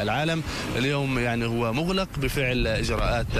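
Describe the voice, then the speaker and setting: Against noticeable background noise, a man speaks at a moderate pace with ordinary pitch variation, the sound dry with no echo. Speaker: TV field correspondent. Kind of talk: live news report. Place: street.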